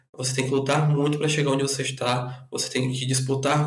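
With audible room echo around him, a man speaks in a medium-pitched, somewhat breathy voice with flat, monotone intonation. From northern Brazil (Rondônia and Acre). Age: 20s. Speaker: podcast guest. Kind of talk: casual chat.

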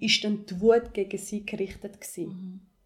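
This woman's voice is somewhat breathy and fairly high in pitch. Her intonation stays fairly even. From Ethiopia, moved to Switzerland at twelve. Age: 20s. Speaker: podcast host, activist and coach. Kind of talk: personal testimony interview.

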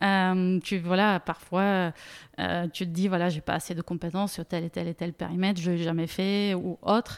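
In a Bulgarian accent, a woman with a fairly low pitch speaks at a moderate pace with monotone, flat intonation, on a very clean recording with a silent background and a dry, close sound with no echo. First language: Bulgarian (speaking French). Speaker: data product manager. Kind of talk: interview. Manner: halting.

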